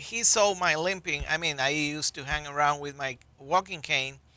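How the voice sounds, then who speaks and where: With a Colombian accent, a man uses a bright, sharp tone and lively intonation at a moderate pace. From Colombia (Bogota). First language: Spanish. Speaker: public health physician. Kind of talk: interview.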